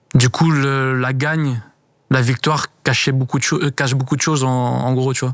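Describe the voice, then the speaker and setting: At a moderate pace, a man talks at a medium pitch in a monotone, flat intonation. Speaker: retired footballer. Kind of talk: casual interview. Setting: hotel venue for filming.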